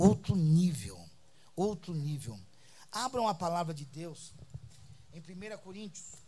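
Here a man talks with a high pitch. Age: 60s. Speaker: apostle preacher. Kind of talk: sermon. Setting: church. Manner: animated.

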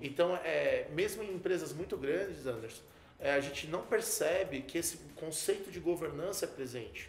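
Music plays in the background as a man speaks at a high pitch. His pace is moderate and his pitch variation ordinary. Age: 30s. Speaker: computer engineer and entrepreneur. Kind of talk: interview. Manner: hesitant, many fillers.

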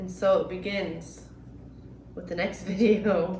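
A woman speaks at a medium pitch and a fairly slow pace. Noticeable background noise runs under her voice. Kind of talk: casual chat.

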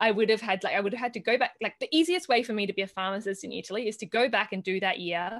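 Speaking with an Australian accent, a woman has medium pitch and fairly even intonation. The background is quiet. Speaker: herbalist and conference organiser. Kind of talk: interview. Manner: hesitant, many fillers.

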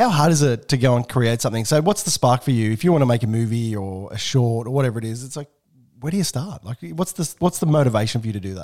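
With an Australian accent, a man talks at a very fast pace in a medium pitch, with lively intonation and big swings in loudness. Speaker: podcast host.

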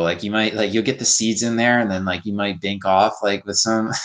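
A man with an ordinary speaking voice talks fairly quickly at a fairly low pitch, with ordinary pitch variation and hardly any pauses. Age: 30s. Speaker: animal rights activist. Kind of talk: casual chat.

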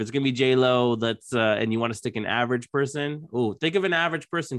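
Using a normal speaking voice, a man talks at medium pitch with lively intonation. The background is quiet. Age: 30s. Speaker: podcast host. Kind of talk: casual chat.

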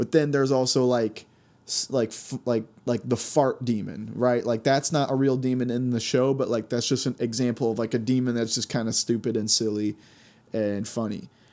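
Recorded very cleanly with a silent background, a man speaks at medium pitch and a moderate pace, his tone dark and mellow and his intonation fairly even. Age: 20s. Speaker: solo podcast host. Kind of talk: casual monologue. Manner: filler-heavy, hesitant.

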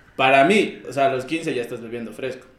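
A man talks at a fairly quick pace. Noticeable background noise runs beneath him. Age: 20s. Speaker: podcast guest. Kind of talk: casual chat.

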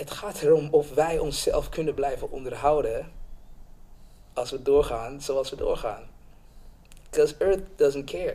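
The speaker is a man with a fairly slow delivery. Long pauses come often. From Suriname, raised in Amsterdam Bijlmer from age six. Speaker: film director. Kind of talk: casual interview. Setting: studio, around a table.

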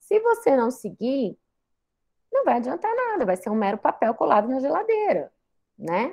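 With long, frequent pauses at a moderate pace, a woman talks in a high voice that swings very widely in pitch. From Brazil, Goiás (Goiânia). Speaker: psychiatrist and lecturer. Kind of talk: guest lecture.

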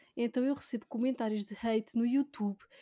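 The dark, mellow voice has fairly even intonation, recorded very cleanly over a silent background. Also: woman. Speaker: YouTuber and gaming writer. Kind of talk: casual chat.

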